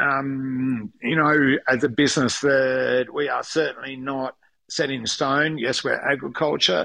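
A man with an Australian accent speaks fairly slowly at a fairly high pitch, his tone bright and sharp and his intonation fairly even. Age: 50s. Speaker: winemaker. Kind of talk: interview. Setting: at home, remote interview. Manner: halting, many fillers.

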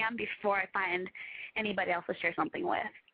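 A woman with a medium pitch talks at a very fast pace as noticeable noise sounds in the background. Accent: American. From US Midwest. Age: 20s. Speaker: caller. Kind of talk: casual chat. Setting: phone call. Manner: hesitant, filler-heavy.

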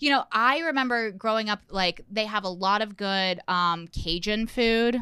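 A woman with a fairly high voice and a bright, sharp tone speaks in an animated tone at a fairly slow pace, her loudness very even, in a very clean recording with a silent background. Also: ordinary pitch variation. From Indiana, US Midwest. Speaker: stand-up comedian. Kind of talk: casual chat.

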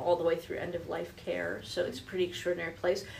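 Audible room echo surrounds this recording. The speaker is a woman with an American accent. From New Jersey. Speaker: business executive. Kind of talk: interview. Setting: studio.

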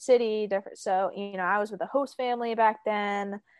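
A woman speaks with an American accent in a plain, everyday voice, fairly high in pitch and at a fairly quick pace. Her pitch varies in an ordinary way, and the sound is dry and close with no echo against a quiet background. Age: 30s. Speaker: professional soccer player. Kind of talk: interview.

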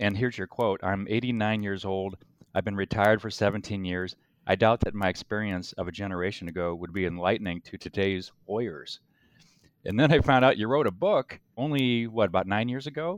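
Dry, close sound with no echo and a quiet background, a man with a plain, everyday voice, fairly low pitch, ordinary pitch variation and fairly quick pace. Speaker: podcast co-host, lawyer. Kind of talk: casual interview.

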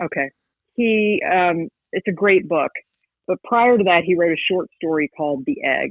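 A woman with an American accent and an ordinary speaking voice talks at a moderate pace. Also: medium pitch for a woman, lively intonation. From West Virginia. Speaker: paranormal investigator and author. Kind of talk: interview.

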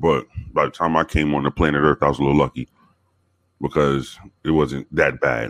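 With an American accent, this man speaks at a fairly quick pace in a very deep, low voice, his loudness very even and his intonation monotone and flat, with vocal fry, long and frequent pauses, and a dry, close sound with no echo. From South Bronx, New York. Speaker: former police officer, podcast guest. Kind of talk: casual chat, storytelling.

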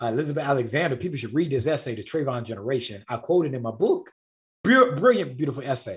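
Speaking at a very fast pace, a man sounds animated and somewhat breathy. His pitch is fairly high, with ordinary variation. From rural US South. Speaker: writer and author. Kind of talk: casual interview chat. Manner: animated, repeats words.

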